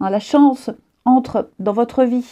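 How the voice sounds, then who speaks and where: Her pitch is high, a woman's voice with a dark, mellow tone and ordinary pitch variation. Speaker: tarot reader. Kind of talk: tarot horoscope reading. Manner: quiet.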